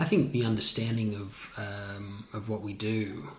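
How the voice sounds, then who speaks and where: Talking fairly slowly, a man is heard against noticeable background noise. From Sydney, Australia. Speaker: ballet dancer. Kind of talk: casual interview.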